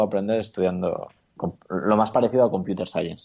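This man has a dark, mellow tone and a fairly low pitch. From Spain, Granada (Andalusia). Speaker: startup founder and former photographer. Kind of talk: interview.

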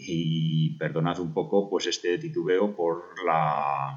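Fairly even intonation in a man's very deep, low-pitched speech. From Spain, Burgos. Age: 50s. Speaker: amateur marathon runner. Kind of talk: personal storytelling. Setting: self-recorded audio message. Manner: halting.

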